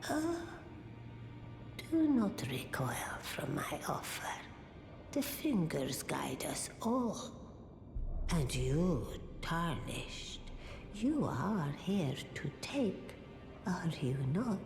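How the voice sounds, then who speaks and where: Over loud background noise, a put-on character voice at a middle pitch speaks at a very slow pace with long, frequent pauses. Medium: game stream. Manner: measured, mysterious.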